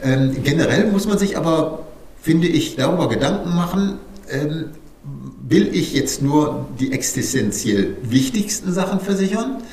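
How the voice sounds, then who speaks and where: With noticeable background noise and audible room echo, a man speaks at a fairly slow pace in a fairly high pitch, his intonation lively. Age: 50s. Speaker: insurance broker. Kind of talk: interview.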